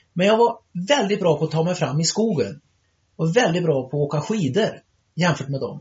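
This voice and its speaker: Here a man talks with a high pitch. His intonation is lively. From Sweden, Trollhättan. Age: 60s. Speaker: ultramarathon runner. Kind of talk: interview. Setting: summer cottage. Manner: animated.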